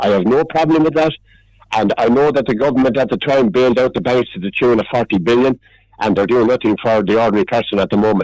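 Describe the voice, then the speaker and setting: Talking at a very fast pace, a man with an Irish accent keeps a medium pitch, ordinary pitch variation and very even loudness. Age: 70s. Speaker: regular radio contributor. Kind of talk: heated debate. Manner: animated; halting.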